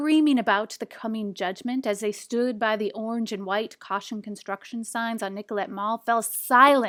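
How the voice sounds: Here we have a natural reading voice.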